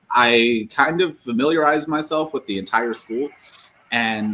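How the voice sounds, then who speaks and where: Speaking at a fairly slow pace, a man with a plain, everyday voice shows ordinary pitch variation. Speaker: author and former teacher. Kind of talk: casual interview chat.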